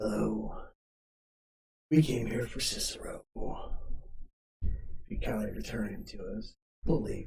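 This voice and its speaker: Someone uses a put-on character voice at a moderate pace, with long, frequent pauses. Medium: actual play. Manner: cocky, taunting.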